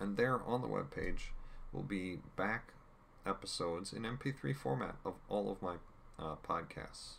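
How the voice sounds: Here the speaker uses a natural reading voice.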